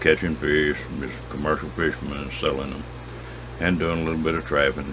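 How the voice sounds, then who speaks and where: With noticeable background noise behind him, a man speaks fairly quickly in a very deep, low voice, his tone relaxed and his intonation fairly even. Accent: rural Southern US. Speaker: outdoorsman, angler and hunter. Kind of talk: casual storytelling to camera. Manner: folksy, relaxed.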